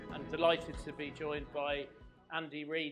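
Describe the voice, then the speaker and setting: A man speaks at a fairly slow pace in a fairly high pitch, with music in the background. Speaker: event host. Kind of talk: event introduction.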